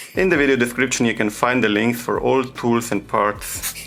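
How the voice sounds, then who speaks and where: With music in the background, a man in a non-native accent talks at a moderate pace with fairly even intonation. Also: very even loudness. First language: not English. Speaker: phone repair technician. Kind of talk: tutorial. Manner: halting.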